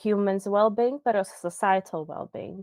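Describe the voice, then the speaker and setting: A woman speaks with a Croatian accent in a monotone, flat intonation. The sound is dry and close, with no echo. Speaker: designer and researcher. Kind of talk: interview.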